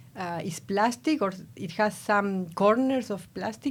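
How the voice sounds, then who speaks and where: A woman's medium-pitched voice in an Argentine accent. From Argentina. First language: Spanish. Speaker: nanotechnology researcher. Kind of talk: podcast interview.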